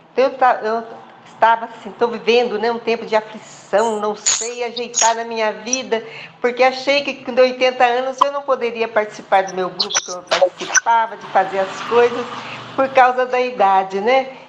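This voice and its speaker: Noticeable background noise runs beneath a woman's fairly high voice at a moderate pace. Her intonation is fairly even, but her loudness swings widely. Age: 80s+. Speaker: participant in an online group meeting. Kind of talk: personal testimony.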